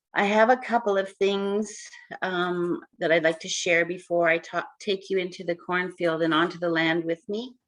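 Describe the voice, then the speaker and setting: A woman speaks at a moderate pace with a fairly low pitch and fairly even intonation. She uses a normal speaking voice. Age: 60s. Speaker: community food worker. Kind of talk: webinar presentation, storytelling. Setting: live online webinar.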